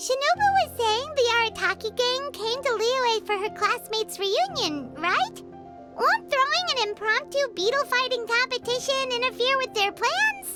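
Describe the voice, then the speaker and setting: Putting on a squeaky character voice pitched extremely high, a woman speaks at a moderate pace while music plays clearly in the background. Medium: cartoon. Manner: upbeat, brisk.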